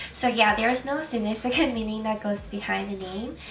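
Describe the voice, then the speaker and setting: A woman's voice carries audible room echo over noticeable background noise. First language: Chinese. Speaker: beauty vlogger. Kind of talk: makeup tutorial. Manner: casual, with fillers.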